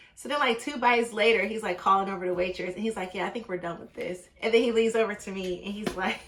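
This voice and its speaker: Over noticeable background noise, a woman with a medium pitch talks at a very fast pace with hardly any pauses and big swings in loudness. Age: 30s. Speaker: dating vlogger. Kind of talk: casual storytelling vlog. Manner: animated.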